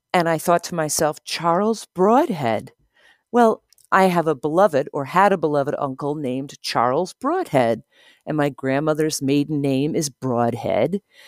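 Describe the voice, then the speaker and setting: In a dry, close recording with no echo, a woman talks at a moderate pace with a very deep, low pitch and lively intonation. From New Jersey shore. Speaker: community member telling story. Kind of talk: personal story monologue.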